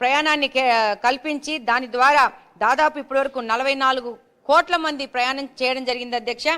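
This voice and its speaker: A woman speaks in a raised, projected voice with a high pitch. Her tone is bright and sharp, and her intonation is fairly even. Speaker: politician. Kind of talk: legislative assembly speech.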